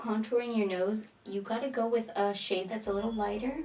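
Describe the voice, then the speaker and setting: Noticeable background noise under a woman's fairly high voice at a moderate pace. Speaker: beauty vlogger. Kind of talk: tutorial. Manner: casual.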